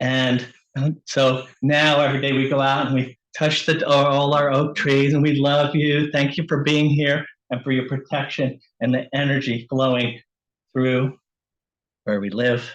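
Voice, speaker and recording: The speech comes at a fairly slow pace in a monotone, flat intonation with very even loudness against a quiet background. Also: man, fairly high pitch for a man. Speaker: author. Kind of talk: casual chat.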